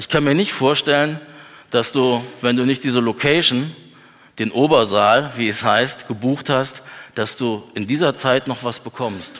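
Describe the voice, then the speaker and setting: A man with a plain, everyday voice speaks at a fairly slow pace, medium in pitch and with ordinary pitch variation. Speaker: preacher. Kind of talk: sermon. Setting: church. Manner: earnest, lively preacher's delivery, conversational with humor.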